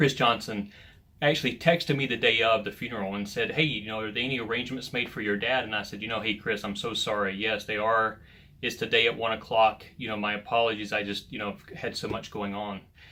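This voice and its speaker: A man with an American accent talks at a very fast pace in a medium pitch, his intonation fairly even and his tone bright and sharp. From US South. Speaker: men's ministry leader. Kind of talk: devotional talk. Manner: casual.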